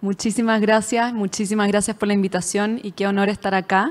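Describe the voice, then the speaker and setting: A woman speaks with a Chilean accent. Her intonation is monotone and flat. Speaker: venture capital investor. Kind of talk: panel discussion.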